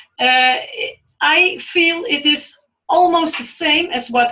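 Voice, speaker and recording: A raised, projected voice with a Dutch accent speaks at a very slow pace, its tone bright and sharp and its pitch variation ordinary. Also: woman. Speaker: storyteller, webinar participant. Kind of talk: webinar discussion. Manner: halting.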